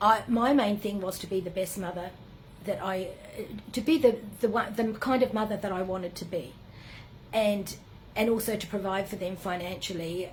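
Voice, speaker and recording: An Australian accent comes from a woman speaking at a moderate pace and medium pitch. Her pitch varies in an ordinary way, with audible echo in the room. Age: 70s. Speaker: spiritual retreat leader. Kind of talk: personal reflective monologue. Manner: halting, many fillers.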